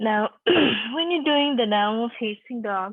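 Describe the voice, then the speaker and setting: Calm in tone, a woman speaks at a fairly high pitch. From Nepal. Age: 60s. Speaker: yoga instructor. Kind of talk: guided yoga class instruction. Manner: calm, encouraging.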